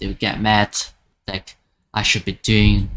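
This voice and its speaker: A man with a non-native accent talks at a fairly slow pace in a fairly low voice. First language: not English. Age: 20s. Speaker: gaming YouTuber, college student. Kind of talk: casual vlog monologue. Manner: halting, many fillers and restarts.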